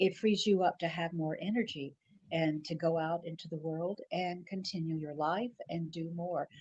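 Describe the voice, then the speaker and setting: A woman with an American accent talks at a moderate pace, somewhat breathy and with fairly even intonation. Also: fairly low pitch for a woman. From US South. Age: 70s. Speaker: retired TV news anchor. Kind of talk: interview conversation.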